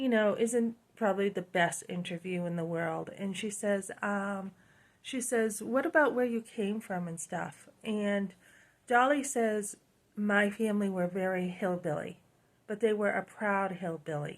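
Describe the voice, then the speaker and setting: At a fairly slow pace, a woman with a New England accent speaks at a medium pitch with ordinary pitch variation. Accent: New England accent, noticeable. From New Hampshire, US. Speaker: lifestyle YouTuber. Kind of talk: casual vlog monologue. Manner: conversational with many fillers.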